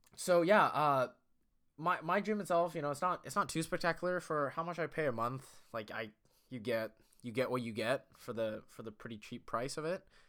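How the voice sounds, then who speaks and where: A loud man with a bright, sharp tone, fairly high pitch and lively intonation, at a moderate pace in a very clean recording with a silent background. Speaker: podcast host. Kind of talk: casual solo monologue. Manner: rambling, filler-heavy, self-deprecating.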